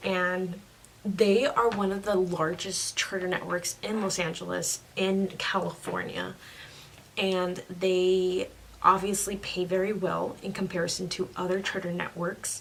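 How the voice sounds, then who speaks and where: Over noticeable background noise, a quiet woman speaks at a medium pitch with monotone, flat intonation. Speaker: teacher and vlogger. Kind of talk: casual vlog. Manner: quiet, lowered voice.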